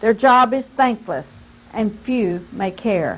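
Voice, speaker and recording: A woman speaks in a normal speaking voice, her fairly high pitch showing ordinary pitch variation. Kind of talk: poetry reading tribute. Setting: recorded interview.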